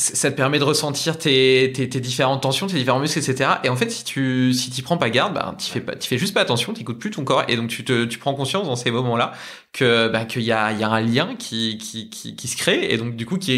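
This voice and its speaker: This man talks at a medium pitch with ordinary pitch variation and hardly any pauses. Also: fairly quick pace. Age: 20s. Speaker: athletic trainer and entrepreneur. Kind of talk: casual podcast conversation. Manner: fast.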